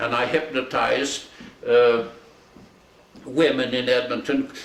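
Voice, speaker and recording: With a Canadian accent, a man speaks at a medium pitch with fairly even intonation, amid audible room echo and noticeable background noise. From Alberta, Canada. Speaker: retired hypnotist. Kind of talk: casual storytelling.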